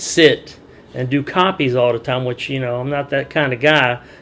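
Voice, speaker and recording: There is noticeable background noise as a man speaks at a moderate pace. His pitch is fairly high and his intonation fairly even. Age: 50s. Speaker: dock worker. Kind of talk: interview answer.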